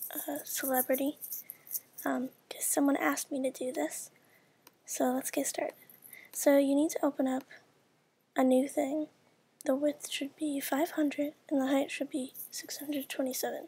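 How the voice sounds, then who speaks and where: A woman speaks quietly in a high voice with a dark, mellow tone and monotone, flat intonation. Her pace is moderate, with long, frequent pauses. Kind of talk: casual screen-recorded software tutorial. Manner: quiet, hushed.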